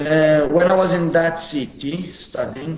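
A man with a Portuguese accent talks at a very slow pace. Noticeable background noise and audible room echo fill the recording. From Portugal, Madeira (Funchal). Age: 20s. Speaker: football academy head coach. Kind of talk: interview.

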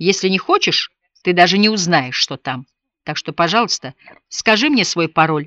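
With a quiet background, this is a natural reading voice.

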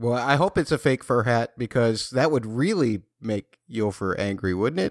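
A man with an ordinary speaking voice, medium pitch and lively intonation at a moderate pace, in a very clean, dry, close recording with no echo and a silent background. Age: 50s. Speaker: podcast host. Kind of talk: casual chat.

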